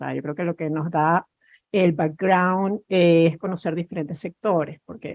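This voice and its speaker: A woman talks fairly slowly at a fairly low pitch, her pitch varying in an ordinary way. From Spain. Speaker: cybersecurity executive. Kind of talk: panel discussion.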